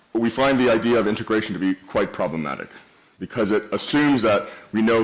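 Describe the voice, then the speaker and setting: A man with a Canadian accent talks at a very fast pace over noticeable background noise. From Canada. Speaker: event host, moderator. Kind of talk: moderated panel discussion. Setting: stage with audience.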